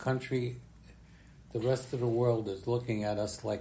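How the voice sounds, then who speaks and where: Somewhat breathy, a man with an American accent speaks in a medium pitch with a dark, mellow tone and ordinary pitch variation. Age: 90s. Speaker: retired politician. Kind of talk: casual chat. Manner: halting.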